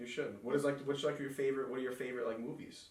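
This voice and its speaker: A man with a strong New York accent at medium pitch, very fast pace, noticeable background noise and audible room echo. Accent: thick New York. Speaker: podcast host. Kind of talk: casual chat.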